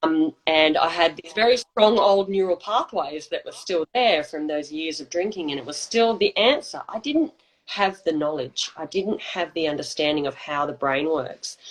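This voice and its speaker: Speaking at a moderate pace with hardly any pauses, a woman uses lively intonation and big swings in loudness. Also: fairly low pitch for a woman. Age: 40s. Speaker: alcohol freedom coach. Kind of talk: personal testimony in interview. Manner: halting.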